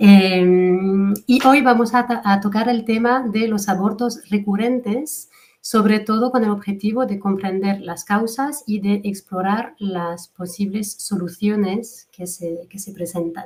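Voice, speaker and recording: Somewhat breathy, a woman with a French accent speaks at a very slow pace yet with hardly any pauses, at a medium pitch with ordinary pitch variation and big swings in loudness. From France. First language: French (speaking Spanish). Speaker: fertility coach, webinar moderator. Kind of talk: webinar introduction. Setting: online webinar.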